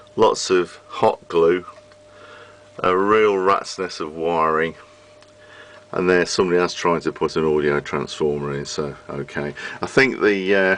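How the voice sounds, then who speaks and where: With a British accent, a man speaks in a very deep, low voice with ordinary pitch variation. He leaves long, frequent pauses. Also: fairly slow pace. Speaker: vintage radio repairer. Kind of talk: casual talk to camera.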